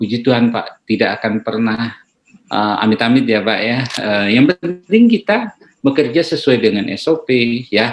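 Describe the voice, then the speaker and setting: Speech moves at a moderate pace. Its pitch shifts in an ordinary way. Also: man, medium pitch for a man. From Dadap, Tangerang area (Betawi Benteng). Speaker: doctor. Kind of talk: interview. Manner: hesitant, many fillers.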